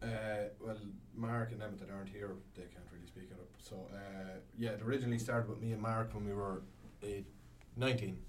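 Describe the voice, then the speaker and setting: Moderate pace in an Irish Midlands accent, with fairly even intonation and big swings in loudness. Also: man, fairly low pitch for a man. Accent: Irish Midlands, noticeable. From Longford, Ireland. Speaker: band member musician. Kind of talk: casual interview chat. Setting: radio studio.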